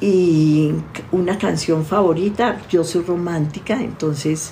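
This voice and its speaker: A woman speaks at a very slow pace over noticeable background noise and audible room echo. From Colombia. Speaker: family constellations therapist. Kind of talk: interview.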